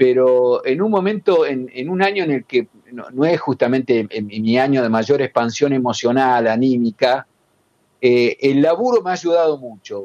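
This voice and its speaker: A man with an unremarkable speaking voice, medium pitch, moderate pace and lively intonation, in a dry, close sound with no echo. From Argentina, La Plata area (Berisso). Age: 60s. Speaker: journalist and writer. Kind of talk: interview.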